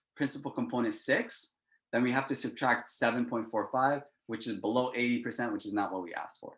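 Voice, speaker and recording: Here a man has a normal speaking voice at medium pitch. He talks at a fairly quick pace. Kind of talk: lecture. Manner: casual.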